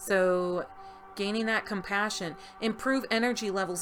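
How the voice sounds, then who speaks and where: Music behind a woman's fairly slow speech. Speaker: tarot reader. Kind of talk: tarot reading. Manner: loud; animated.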